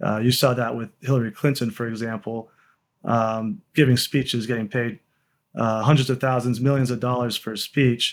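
On a very clean recording with a silent background, a man with a Texan accent speaks at a moderate pace and medium pitch, his intonation fairly even. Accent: Texan American. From Texas, Austin. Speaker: lawyer and political activist. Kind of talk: interview.

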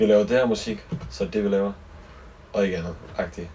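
This man talks fairly quickly, his pitch fairly low. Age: 20s. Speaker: singer-songwriter. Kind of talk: casual chat. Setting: on a boat.

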